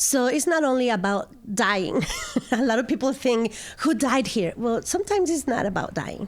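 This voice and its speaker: A woman with a Mexican accent speaks at a moderate pace in a high voice with very wide pitch swings and very even loudness, over noticeable background noise. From Mexico, Aguascalientes. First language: Spanish. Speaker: estate sale business owner. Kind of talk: interview.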